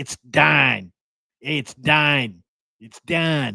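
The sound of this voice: A man puts on a character voice with a fairly high pitch. It sounds gravelly and raspy.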